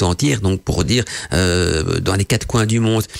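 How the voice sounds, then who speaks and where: At a moderate pace, a man is talking. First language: not French (speaking French). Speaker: esoteric radio show host. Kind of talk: live radio talk on esoteric topic. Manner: hesitant, many fillers.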